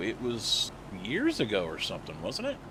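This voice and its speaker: A man at a moderate pace, with very wide pitch swings and noticeable background noise. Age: 40s. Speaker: gaming streamer. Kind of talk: live stream chat. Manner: casual, conversational.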